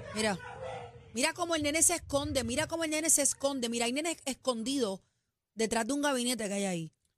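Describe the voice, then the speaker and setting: A woman's high, animated voice with lively intonation at a very fast pace. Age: middle-aged. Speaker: radio host. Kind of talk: casual chat.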